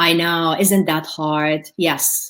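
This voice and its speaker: A woman is speaking. She has a Middle Eastern accent. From Jordan. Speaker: motivational speaker. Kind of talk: webinar Q&A. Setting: live webinar.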